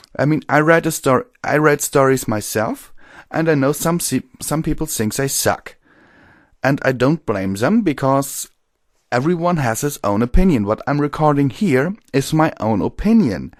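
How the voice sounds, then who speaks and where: Someone with a German accent speaks at a moderate pace with lively intonation on a very clean recording with a silent background. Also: man, fairly high pitch for a man. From Germany. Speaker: audiobook narrator. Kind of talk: casual commentary. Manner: halting.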